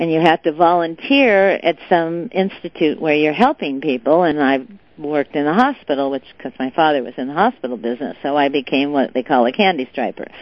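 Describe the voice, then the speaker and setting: This woman has a West Coast US accent and a very deep, low pitch. She talks fairly quickly with lively intonation and hardly any pauses. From Southern California, Beverly Hills. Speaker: businesswoman and philanthropist. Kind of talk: interview.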